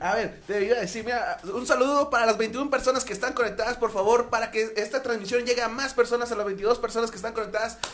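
This man talks at a very fast pace in an extremely high pitch with an animated tone. Noticeable background noise runs behind him. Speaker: podcast host. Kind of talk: casual chat.

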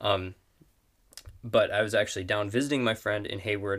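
A bright, sharp tone with an American accent, fairly quick pace and ordinary pitch variation, in a very clean recording with a silent background. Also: man. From northern Wisconsin (Superior). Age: young. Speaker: university student, bible study member. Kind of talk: casual chat about scripture. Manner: halting, many fillers.

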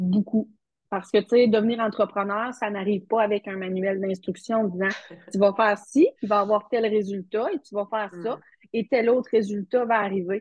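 Moderately paced, a woman at medium pitch talks in a normal speaking voice with fairly even intonation. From Quebec, Matane (Bas-Saint-Laurent). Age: 40s. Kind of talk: interview.

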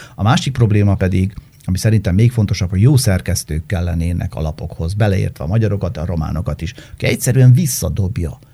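Somewhat breathy, dark and mellow speech at a very fast pace with ordinary pitch variation. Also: man, fairly low pitch for a man. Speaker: journalist. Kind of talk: casual chat.

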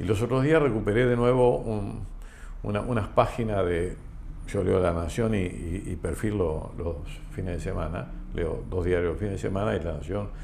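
In a dark, mellow tone that is somewhat breathy, a man with a fairly low pitch speaks at a moderate pace with lively intonation, and audible room echo can be heard. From Argentina, Entre Ríos (Concepción del Uruguay). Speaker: insurance company president. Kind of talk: interview conversation. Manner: halting.

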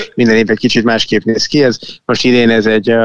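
A man speaks at a fairly quick pace with medium pitch and vocal fry. The sound is dry and close, with no echo. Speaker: tech company founder and CEO. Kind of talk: interview. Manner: halting, many fillers.

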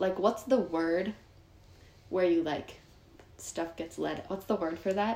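This woman speaks very slowly, leaving long, frequent pauses. Her pitch is medium, with ordinary variation. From Northern California, Sonoma County. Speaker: young activist. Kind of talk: casual chat.

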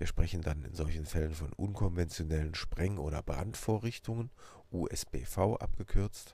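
A man with a very deep, low pitch and a somewhat breathy voice, at a fairly slow pace with ordinary pitch variation and big swings in loudness. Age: 50s. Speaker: police officer and podcast host. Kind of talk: personal introduction monologue.

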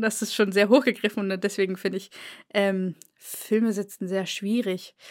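In a very clean recording with a silent background, a woman with an unremarkable speaking voice talks at a moderate pace and a fairly high pitch. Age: 20s. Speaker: podcast co-host, student, book YouTuber. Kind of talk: casual chat.

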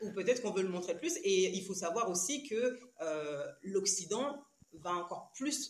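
At a fairly slow pace, a woman speaks at medium pitch with lively intonation. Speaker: trainer and parenting educator. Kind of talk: casual interview. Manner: calm.

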